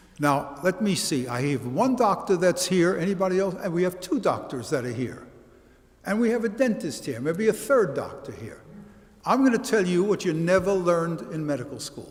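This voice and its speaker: A man with a high voice and a Brooklyn accent talks at a moderate pace, his pitch swinging very widely. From US Northeast, Brooklyn, New York. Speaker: college history professor. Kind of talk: lecture.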